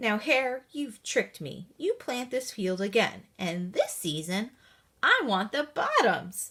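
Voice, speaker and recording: A woman's growling, put-on character voice, fairly high in pitch, at a fairly slow pace. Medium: read story. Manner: slow, drowsy.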